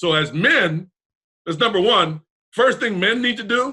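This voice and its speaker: A man projects a raised voice at a high pitch, bright and sharp in tone. His delivery is animated, with lively intonation and a fairly slow pace. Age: 60s. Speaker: talk show host. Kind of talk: casual chat.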